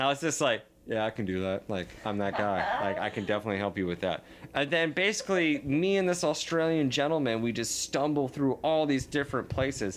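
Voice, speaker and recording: Through noticeable background noise, a man with a fairly high pitch talks at a fairly quick pace with very wide pitch swings. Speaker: musician in a band. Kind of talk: casual chat. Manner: halting, many fillers.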